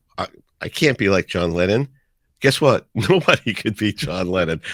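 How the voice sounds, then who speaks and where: A man with a New York accent and a fairly low pitch talks at a moderate pace with lively intonation, recorded dry and close with no echo against a silent background on a very clean recording. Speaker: radio DJ. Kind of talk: podcast interview answer.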